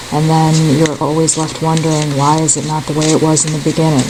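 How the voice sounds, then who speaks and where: The speaker is soft-spoken. Background noise is noticeable. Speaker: tarot reader. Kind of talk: tarot reading. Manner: hesitant, many fillers.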